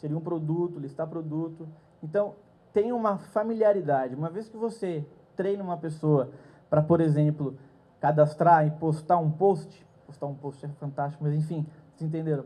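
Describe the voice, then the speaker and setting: Fairly high-pitched male voice, dark and mellow in tone, with ordinary pitch variation, big swings in loudness and a moderate pace. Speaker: conference speaker. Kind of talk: lecture. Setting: stage with audience.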